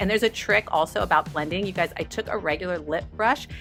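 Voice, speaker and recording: A woman speaks in an upbeat tone. Music plays in the background. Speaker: beauty vlogger. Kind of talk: makeup tutorial talk to camera. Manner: upbeat, chatty.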